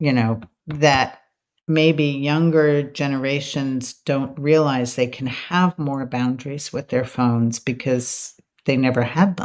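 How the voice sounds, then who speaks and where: At a fairly slow pace, a woman speaks in a very deep, low pitch with fairly even intonation. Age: 60s. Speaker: psychotherapist and author. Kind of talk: interview conversation.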